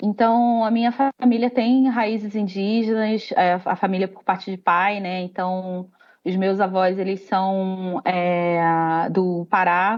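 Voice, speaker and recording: Speaking very slowly with a Rio de Janeiro accent, a woman keeps a medium pitch and fairly even intonation while her loudness swings widely. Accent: carioca (Rio de Janeiro). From Rio de Janeiro, Brazil. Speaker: company employee, diversity group member. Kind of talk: panel discussion.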